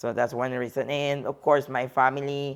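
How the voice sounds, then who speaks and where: A woman with a Spanish accent speaks at a moderate pace with a very deep, low pitch. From Mexico (border near Laredo). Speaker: bodybuilding competitor and coach. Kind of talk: interview.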